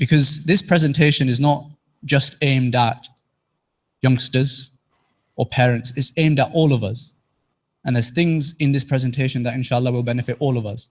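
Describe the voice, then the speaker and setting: A man with a Teesside accent speaks at a moderate pace and medium pitch, somewhat breathy. His intonation is fairly even, broken by long, frequent pauses. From northeast England, Teesside. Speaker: trainee corporate lawyer and presenter. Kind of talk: interactive presentation to mosque audience.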